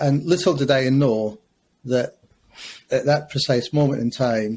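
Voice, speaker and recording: A man speaks in a fairly high, somewhat breathy voice. He has a Scottish accent. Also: ordinary pitch variation, fairly slow pace. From Scotland, Glasgow. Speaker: school principal. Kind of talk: podcast interview. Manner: hesitant, many fillers.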